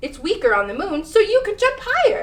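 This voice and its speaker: In a squeaky, put-on character voice, a woman speaks at a fairly quick pace with extremely high pitch and very wide pitch swings. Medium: read story. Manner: patient, explanatory.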